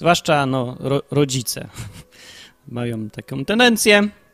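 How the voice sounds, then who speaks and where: A man talks with lively intonation. The sound is dry and close with no echo, on a very clean recording with a silent background. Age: 30s. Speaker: Bible podcast host, layman. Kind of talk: casual personal monologue. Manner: improvised, with fillers and hesitations.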